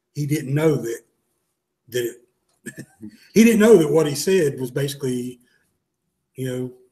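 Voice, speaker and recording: A man with a fairly high pitch and a dark, mellow tone speaks in a somewhat breathy way, with lively intonation, big swings in loudness and long, frequent pauses. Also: moderate pace. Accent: Southern. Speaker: gun shop co-host. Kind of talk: casual chat. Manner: halting.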